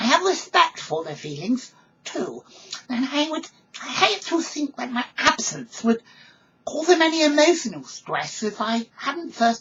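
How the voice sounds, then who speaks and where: A female-sounding voice puts on a character voice at a high pitch. The pace is moderate. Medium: read story. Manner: polite, earnest.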